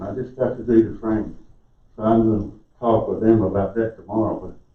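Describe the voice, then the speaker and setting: A man with a South Carolina accent speaks at a fairly quick pace in a medium pitch, with audible room echo. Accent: Southern US (South Carolina). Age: 60s. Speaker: resident speaking at public comment. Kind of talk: public comment at council meeting. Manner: halting.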